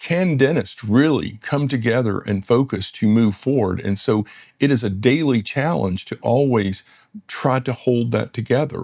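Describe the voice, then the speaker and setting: Against a quiet background, a man with a Southern US accent speaks at medium pitch and a moderate pace with ordinary pitch variation. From US South, West Tennessee. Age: 60s. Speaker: dentist and business founder. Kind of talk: interview conversation. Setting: in-person interview in London.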